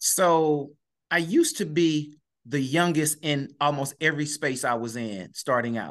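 A man's fairly high voice, with ordinary pitch variation, comes out at a fairly slow pace. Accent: American. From East Saint Louis, Illinois. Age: 50s. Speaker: educator and author. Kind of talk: interview.

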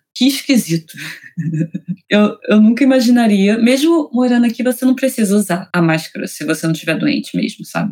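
Somewhat breathy and dark, mellow in tone, a woman's fairly high voice moves at a fairly quick pace. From Rio de Janeiro, Brazil. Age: 20s. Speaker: author. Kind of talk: interview.

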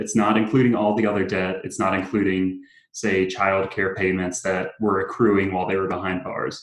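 A fairly low, monotone male voice with an American accent at a moderate pace. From South Carolina. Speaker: campaign worker. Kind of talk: interview.

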